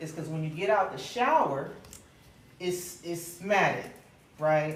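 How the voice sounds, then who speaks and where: A fairly slow pace with big swings in loudness, plus noticeable background noise and audible room echo. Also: woman, fairly low pitch for a woman, ordinary pitch variation. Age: 40s. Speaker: hair stylist and hair product brand founder. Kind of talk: live hair styling demo. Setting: live event with audience. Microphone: speaking without a microphone.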